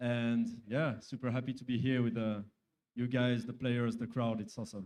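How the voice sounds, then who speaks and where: A man speaks at a medium pitch. His pace is moderate and his intonation monotone and flat. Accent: French. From France. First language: French. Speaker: sponsor executive. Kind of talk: interview.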